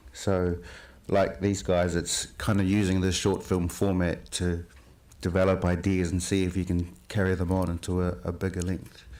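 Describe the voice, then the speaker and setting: With a New Zealand accent, a man speaks at a very deep, low pitch and a moderate pace, his intonation monotone and flat and his loudness very even. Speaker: filmmaker. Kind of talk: panel discussion.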